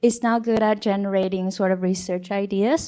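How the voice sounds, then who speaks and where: A woman with a non-native accent and a dark, mellow tone speaks at a moderate pace with fairly even intonation. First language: not English. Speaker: biostatistics professor. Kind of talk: panel discussion. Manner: halting.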